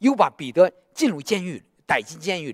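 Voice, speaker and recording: Recorded dry and close with no echo, a man speaks at a moderate pace with very wide pitch swings. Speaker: preacher. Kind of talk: sermon. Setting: church. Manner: emphatic, repeating phrases for exhortation; direct, conversational address to congregation.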